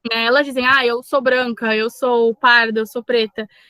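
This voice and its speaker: Her pace is moderate. This woman's voice sits high in pitch. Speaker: Portuguese teacher. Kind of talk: lecture.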